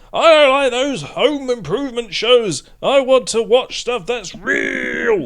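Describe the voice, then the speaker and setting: A man puts on a character voice at an extremely high pitch. He goes at a fairly slow pace with hardly any pauses. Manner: gruff, swashbuckling.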